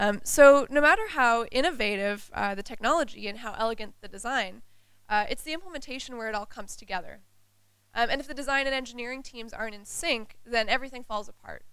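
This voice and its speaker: A woman's high voice at a very fast pace, with big swings in loudness, ordinary pitch variation and audible room echo. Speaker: UX designer. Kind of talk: conference talk. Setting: stage with audience.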